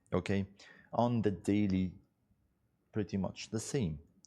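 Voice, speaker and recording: A man speaks with an Arabic accent and ordinary pitch variation. His tone is dark and mellow. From Egypt. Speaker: financial markets analyst. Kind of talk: live webinar market analysis. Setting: live webinar. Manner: conversational, many fillers.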